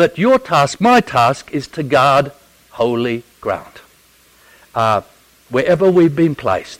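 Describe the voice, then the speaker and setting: A man with an Australian accent and fairly high pitch, swinging very widely in pitch, over noticeable background noise. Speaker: theology professor and Bible teacher. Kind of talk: Bible teaching talk. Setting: church audience. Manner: humorous, conversational.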